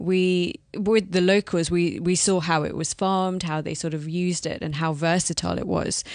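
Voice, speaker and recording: Against a quiet background, a woman with a London accent talks at a fairly low pitch. She keeps a moderate pace and fairly even intonation. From London, England. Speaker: business founder.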